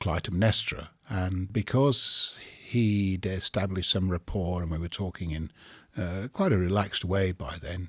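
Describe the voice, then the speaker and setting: A man's very deep, low voice moves fairly slowly, his intonation fairly even. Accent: English. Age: 60s. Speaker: storyteller. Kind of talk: interview. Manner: hesitant.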